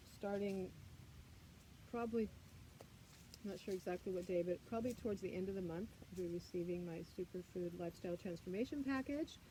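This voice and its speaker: A woman talks at a fairly quick pace and medium pitch in a somewhat breathy, dark, mellow tone. Long pauses come often. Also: ordinary pitch variation. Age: 60s. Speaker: yoga and wellness teacher. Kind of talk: guided yoga livestream.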